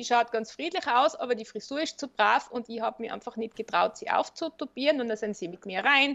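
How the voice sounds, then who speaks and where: A woman speaks fairly quickly with hardly any pauses, her high voice full of lively intonation and big swings in loudness, in a dry, close sound with no echo. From Austria, Tyrol. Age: 50s. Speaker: funeral director and psychologist. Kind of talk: interview.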